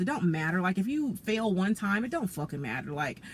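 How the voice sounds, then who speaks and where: A woman at a very fast pace and medium pitch, her pitch swinging very widely, over noticeable background noise. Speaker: tarot reader. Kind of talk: tarot reading monologue. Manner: casual, conversational with many fillers; self-described stuttering.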